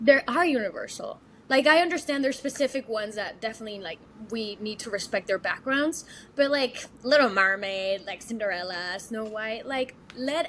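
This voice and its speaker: With a Mexican accent, a woman speaks at a fairly high pitch and a moderate pace. Her intonation is lively, with big swings in loudness. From Mexico City. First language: Spanish. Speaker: actress and singer. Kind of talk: casual interview. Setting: podcast interview. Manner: animated.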